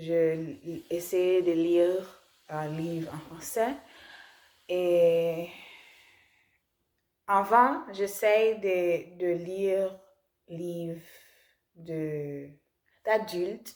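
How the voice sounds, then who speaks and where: A woman with a non-native accent, fairly low in pitch, speaking very slowly with fairly even intonation and long, frequent pauses. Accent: non-native French learner. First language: not French (speaking French). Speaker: language learner vlogger. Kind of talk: casual vlog talk. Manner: halting, many restarts and fillers.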